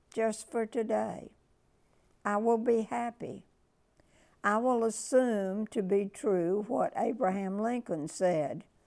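Behind her the background stays quiet. The woman's pace is very slow. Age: 90s. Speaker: inspirational speaker; speaker. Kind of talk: reading aloud. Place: home room. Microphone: lapel.

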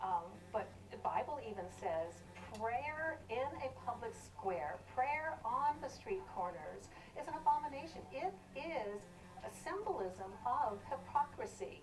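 Amid noticeable background noise, a woman talks at a fairly slow pace in a high pitch with very wide pitch swings. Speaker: atheist activist. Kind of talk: heated TV debate. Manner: emphatic, argumentative.

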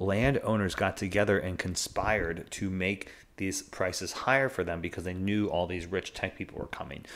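A man is speaking. His pitch is very deep and low. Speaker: commentator. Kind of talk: commentary. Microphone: studio mic.

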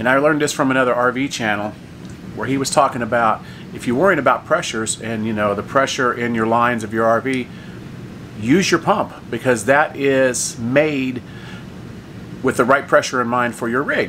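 Light background noise accompanies a man's voice. He talks at a moderate pace with ordinary pitch variation. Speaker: RV camping vlogger. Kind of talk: casual vlog chat. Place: home room. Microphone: phone near.

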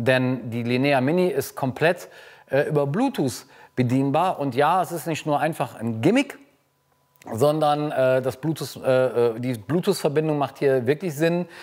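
A man with a medium-pitched, slightly mellow voice speaks at a moderate pace with ordinary pitch variation.

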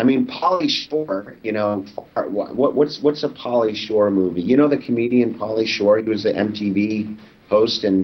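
A man with an American accent speaks at a fairly slow pace. His pitch is fairly low, with ordinary variation. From Los Angeles, California. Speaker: documentary filmmaker; interview guest. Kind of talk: interview; interview answer. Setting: video call. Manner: halting, many fillers and repeats. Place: home room. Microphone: webcam.

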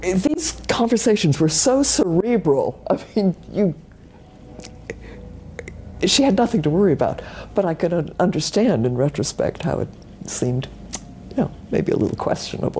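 The speech moves at a moderate pace with long, frequent pauses. Light background noise sits under it. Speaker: interviewee. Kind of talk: interview answer. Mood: warm, amused reminiscing. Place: office.

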